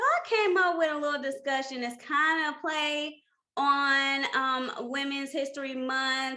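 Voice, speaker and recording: A woman with a St. Louis accent speaks in a high, raised, projected voice. Her intonation stays fairly even at a fairly slow pace. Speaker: podcast co-host. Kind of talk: casual chat. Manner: stumbling over words.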